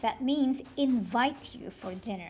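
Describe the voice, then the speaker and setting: A female-sounding voice does a put-on character voice, high in pitch and fairly slow in pace. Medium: read story.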